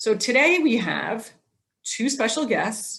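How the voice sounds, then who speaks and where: A woman speaks at a fairly slow pace in a somewhat breathy voice with ordinary pitch variation. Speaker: program host. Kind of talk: presentation over Zoom. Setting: video call.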